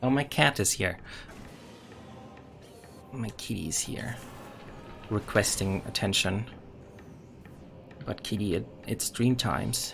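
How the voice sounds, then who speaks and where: Music plays behind a man speaking at a very slow pace with a German accent. He leaves long, frequent pauses, with ordinary pitch variation. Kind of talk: casual game streaming commentary.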